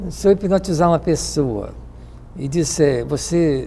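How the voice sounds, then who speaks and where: A man speaks fairly slowly, and noticeable background noise runs behind him. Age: 70s.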